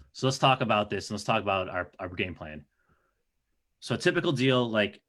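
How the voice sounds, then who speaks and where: A man with an American accent has a plain, everyday voice, fairly low in pitch, with lively intonation and a fairly quick pace. The recording is very clean, the background silent. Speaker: real estate investor. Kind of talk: presentation.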